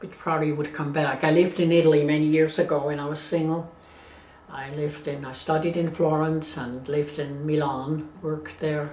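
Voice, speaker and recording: A woman with a Swiss German accent speaks fairly quickly in a very deep, low pitch, flat and monotone but with big swings in loudness. Noticeable background noise and audible room echo surround her. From Switzerland. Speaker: interviewee. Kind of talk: life story interview. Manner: halting.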